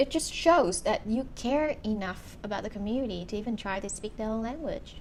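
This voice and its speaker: Over noticeable background noise, a woman with a Vietnamese accent talks at a fairly quick pace, her fairly high pitch carried by lively intonation. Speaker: YouTuber, documentary reviewer. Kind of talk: casual talk to camera.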